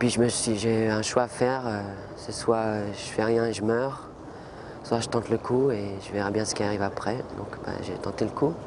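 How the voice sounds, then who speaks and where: Monotone and flat, a man speaks at a medium pitch and a moderate pace. Audible room echo and noticeable background noise surround him. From French Antilles. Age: 20s. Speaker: lung transplant patient. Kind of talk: testimony. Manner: halting.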